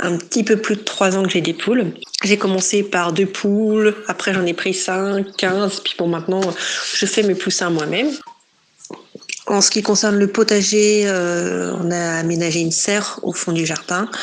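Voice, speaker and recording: A woman speaks at a fairly slow pace with medium pitch. Her intonation is fairly even, with noticeable background noise behind her. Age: 30s. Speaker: smallholder, home gardener. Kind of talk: interview. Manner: hesitant, many fillers.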